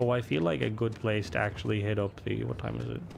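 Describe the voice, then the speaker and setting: At a moderate pace, a man with an Irish accent speaks at a fairly low pitch. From Ireland. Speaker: gaming streamer. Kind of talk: live gameplay stream commentary. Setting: live stream. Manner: casual, chatty.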